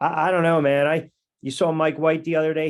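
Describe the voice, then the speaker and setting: At a moderate pace comes a plain, everyday voice. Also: man. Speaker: sports talk radio host and play-by-play announcer. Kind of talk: sports podcast banter.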